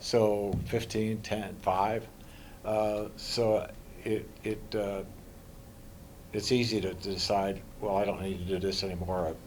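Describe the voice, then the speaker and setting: Speaking very slowly with long, frequent pauses, a man uses a fairly low pitch and monotone, flat intonation amid audible room echo. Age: 80s+. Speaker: wrestling club founder and director. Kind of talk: press interview. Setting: media scrum after a match. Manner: halting, many fillers and repetitions.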